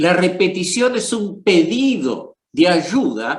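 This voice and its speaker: Talking at a very slow pace, a man uses lively intonation. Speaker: psychoanalyst. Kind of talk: panel discussion. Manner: hesitant, with many fillers.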